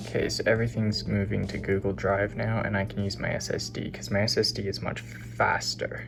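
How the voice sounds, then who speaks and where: A man talks at a fairly quick pace with a fairly low pitch, very wide pitch swings and hardly any pauses. Audible room echo and noticeable background noise fill the recording. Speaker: vlogger, student. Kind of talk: casual vlog.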